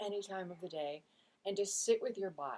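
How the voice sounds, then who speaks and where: With lively intonation, a woman at medium pitch talks at a fairly quick pace. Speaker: spiritual vlogger. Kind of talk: casual monologue. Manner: fast.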